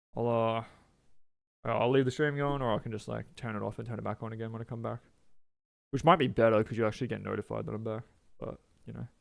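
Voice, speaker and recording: Talking at a very fast pace, a man with a medium-pitched voice and fairly even intonation leaves long, frequent pauses. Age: 30s. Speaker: video game streamer. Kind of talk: casual livestream chat. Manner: casual, halting with many fillers.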